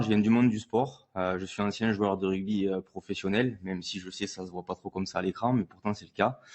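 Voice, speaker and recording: A man with a southern French accent talks at a fairly quick pace with hardly any pauses and fairly even intonation. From southern France. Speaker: entrepreneur, former pro rugby player. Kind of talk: panel conference talk.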